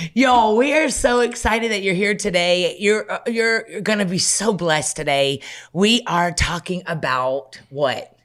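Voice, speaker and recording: A woman speaks loudly at a medium pitch and a fairly slow pace, with hardly any pauses. Her tone is animated, her pitch swings very widely, and the recording is very clean with a silent background. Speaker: pastor and podcast host. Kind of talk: casual chat.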